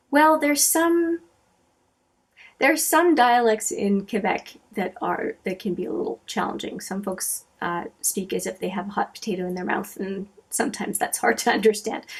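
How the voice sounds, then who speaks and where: A somewhat breathy woman's voice, fairly high in pitch, with very wide pitch swings and a moderate pace. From Canada, Manitoba (Franco-Manitoban). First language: French. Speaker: beauty vlogger. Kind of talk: casual chat. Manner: hesitant, many fillers.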